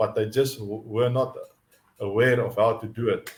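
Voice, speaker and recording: Somewhat breathy and at a medium pitch, a man with a South African accent speaks at a fairly slow pace in a flat monotone. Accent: Afrikaans South African English. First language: Afrikaans. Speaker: mindset coach. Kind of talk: live teaching stream. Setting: live online stream. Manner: halting, many repetitions and fillers.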